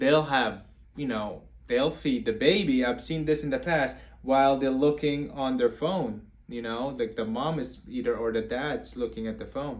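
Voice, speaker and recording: A man talks at a moderate pace, his medium pitch moving with ordinary variation. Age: 20s. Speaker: therapist giving parenting advice. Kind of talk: live-stream Q&A talk. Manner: halting, with repeated words.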